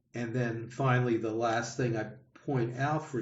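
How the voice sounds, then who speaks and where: A man at medium pitch, somewhat breathy, in a monotone, flat delivery with audible room echo. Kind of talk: adult education class discussion. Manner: halting, many repetitions and fillers; slow, deliberate.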